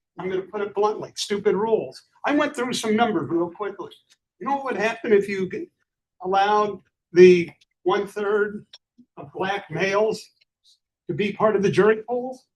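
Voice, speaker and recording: The man's pitch is high and his pace moderate. His loudness swings widely, and he pauses long and often. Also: ordinary pitch variation. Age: 70s. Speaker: audience member. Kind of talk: public Q&A comment.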